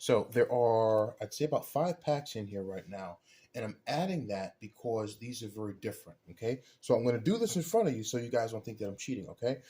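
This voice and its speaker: The voice is somewhat breathy with a dark, mellow tone, moving at a fairly quick pace with hardly any pauses, ordinary pitch variation and big swings in loudness. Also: man, medium pitch for a man. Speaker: dumpster diving and scrap metal video creator. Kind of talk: casual tutorial unboxing. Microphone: camera's built-in microphone.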